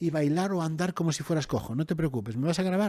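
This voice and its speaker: In a very clean, dry and close recording with no echo and a silent background, a man with a fairly high voice and a dark, mellow tone speaks at a fairly quick pace with ordinary pitch variation. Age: 60s. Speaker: writer and TV presenter. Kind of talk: interview conversation. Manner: animated, with restarts and stammers.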